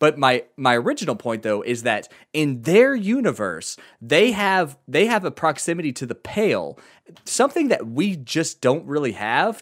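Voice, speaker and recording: Recorded very cleanly against a silent background, a man talks at a moderate pace in an animated tone with very wide pitch swings. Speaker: podcast host. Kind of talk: casual chat, comedic role play. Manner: animated, joking.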